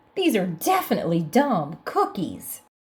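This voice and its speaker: Putting on a character voice, a woman lets her pitch swing very widely. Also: high pitch for a woman, moderate pace. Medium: read story.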